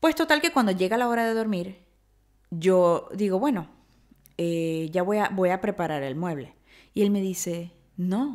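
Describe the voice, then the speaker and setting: With lively intonation and a medium pitch, a woman speaks at a fairly slow pace against a quiet background. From Venezuela, Maracaibo; Venezuela. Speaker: podcast host. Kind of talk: storytelling monologue. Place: home room. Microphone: studio mic.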